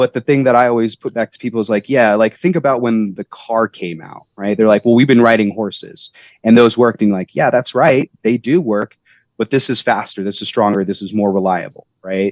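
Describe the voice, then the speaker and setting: With ordinary pitch variation, a man talks in a dry, close sound that has no echo. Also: medium pitch for a man. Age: 30s. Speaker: tech company representative for tradespeople. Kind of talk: podcast interview. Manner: animated.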